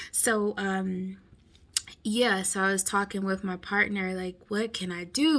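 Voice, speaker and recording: A woman talks at a fairly slow pace in a medium pitch. Her intonation stays fairly even. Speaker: vlogger, home health worker. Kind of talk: casual vlog. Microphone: viewer said mic too quiet.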